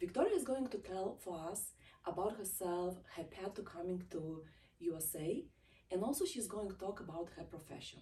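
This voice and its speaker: A woman speaks at a moderate pace with a medium pitch and a somewhat breathy, dark, mellow tone. Her intonation is lively. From Eastern Europe. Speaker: talk show host. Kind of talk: interview.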